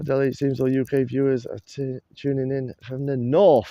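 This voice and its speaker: The sound is dry and close with no echo as a man with a fairly high pitch talks at a moderate pace against a quiet background. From northern England, Doncaster. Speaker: live-stream host, plane spotter. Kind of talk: casual live-stream chat. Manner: rambling, chatty.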